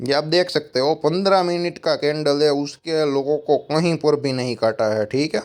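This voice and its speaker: Speaking with a Gujarati accent, a man uses a fairly high pitch and ordinary pitch variation, with hardly any pauses. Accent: Gujarati accent in Hindi. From Gujarat, India. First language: Gujarati (speaking Hindi). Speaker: stock market analyst. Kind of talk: market analysis video. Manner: casual, conversational.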